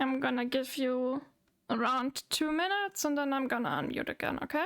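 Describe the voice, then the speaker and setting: On a very clean recording with a silent background, a woman with a German accent speaks at a high pitch and a fairly quick pace, with very even loudness and ordinary pitch variation. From Germany. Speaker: VTuber streamer. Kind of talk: casual chat. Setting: live stream with Discord voice chat.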